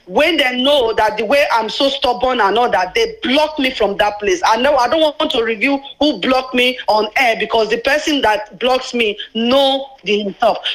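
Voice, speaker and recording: A woman speaks high in pitch and at very even loudness against noticeable background noise. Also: ordinary pitch variation, moderate pace, hardly any pauses. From Nigeria, Anioma. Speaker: radio call-in listener. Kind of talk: phone-in call.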